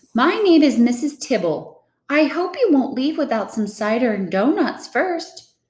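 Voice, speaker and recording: Using a put-on character voice, a high, female-sounding speaker talks at a moderate pace. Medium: read story. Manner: gentle, kindly.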